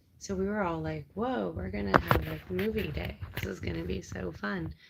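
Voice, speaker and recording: A woman with a very deep, low pitch speaks at a moderate pace, her pitch swinging very widely. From Canada, Ontario. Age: 30s. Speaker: live streamer. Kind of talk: casual chat. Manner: animated.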